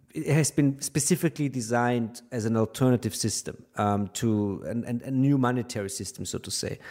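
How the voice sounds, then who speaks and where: With a German accent, a man speaks fairly quickly in a dark, mellow tone. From Austria. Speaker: finance journalist. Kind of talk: interview. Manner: halting.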